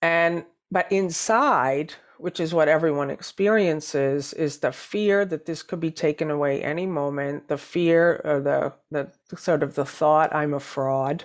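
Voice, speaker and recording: Speaking at a fairly slow pace, a woman with an American accent uses a very deep, low pitch with ordinary pitch variation. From New Hampshire, US. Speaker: spiritual teacher. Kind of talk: interview.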